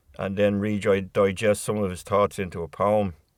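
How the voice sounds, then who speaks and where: On a very clean recording with a silent background, a man with a fairly low pitch speaks at a fairly slow pace in a Dublin accent. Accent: Irish (Dublin). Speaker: poet. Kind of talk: spoken introduction to a poem. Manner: hesitant, conversational.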